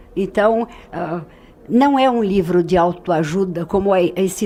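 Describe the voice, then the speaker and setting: This woman talks at a very slow pace, her medium pitch showing ordinary variation. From Brazil, São Paulo. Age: 70s. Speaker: writer. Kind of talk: radio interview. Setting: radio studio. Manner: hesitant, many fillers.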